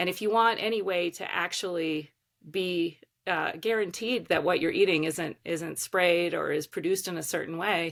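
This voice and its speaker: This is a normal speaking voice with ordinary pitch variation at a moderate pace. The recording is very clean, with a silent background. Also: woman, fairly low pitch for a woman. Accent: American. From Baltimore, Maryland, US. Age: 40s. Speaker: organic farmer and advocate. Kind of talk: podcast interview.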